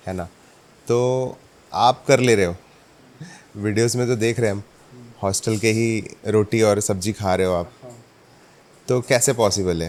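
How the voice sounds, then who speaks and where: With long, frequent pauses, a man talks at a moderate pace in a fairly low pitch, keeping his intonation fairly even. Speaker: podcast host. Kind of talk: interview questions.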